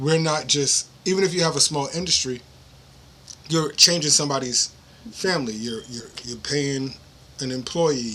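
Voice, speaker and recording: Speaking with a New York accent, a man uses a fairly high pitch with ordinary pitch variation. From New York City. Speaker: podcast host. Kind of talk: interview conversation.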